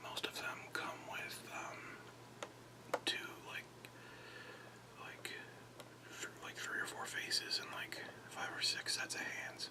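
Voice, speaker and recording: Whispering at a very slow pace with long, frequent pauses, the voice sits over noticeable background noise. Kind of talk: ASMR unboxing talk. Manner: whispered.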